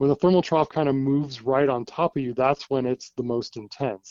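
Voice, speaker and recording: A man with a West Coast US accent at a medium pitch, his intonation fairly even. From US West Coast. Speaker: TV meteorologist. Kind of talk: casual interview. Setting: phone call.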